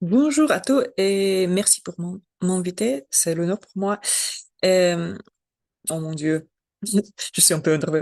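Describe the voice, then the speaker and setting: With a dry, close sound and no echo, a woman speaks very slowly in a medium pitch, her lively intonation marked by big swings in loudness and long, frequent pauses. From Belarus. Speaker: journalist. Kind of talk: webinar talk. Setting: video call webinar. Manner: halting, non-fluent French.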